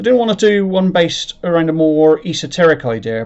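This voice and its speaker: Fairly quick speech in a rural English accent. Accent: rural English, sounds like a farmer. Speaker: sci-fi writer and channel creator. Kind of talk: explanatory talk to camera. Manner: halting, self-correcting; unpolished presenting style.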